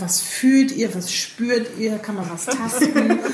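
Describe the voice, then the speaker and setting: A woman speaks very slowly at a fairly high pitch with ordinary pitch variation, audible room echo and noticeable background noise. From northern Germany, Bremen. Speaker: podcast host. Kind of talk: casual chat. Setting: book fair.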